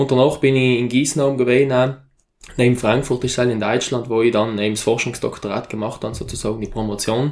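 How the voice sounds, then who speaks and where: A man with an unremarkable speaking voice keeps a medium pitch and fairly even intonation while talking at a fairly quick pace. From South Tyrol, Italy. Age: 20s. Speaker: mountain farmer and university lecturer. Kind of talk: interview.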